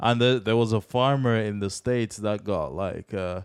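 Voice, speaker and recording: A man speaks at a fairly low pitch. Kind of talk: casual banter.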